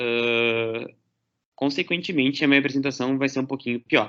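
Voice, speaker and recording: At a moderate pace, a man speaks in a plain, everyday voice, fairly high in pitch. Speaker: lecturer. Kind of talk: lecture.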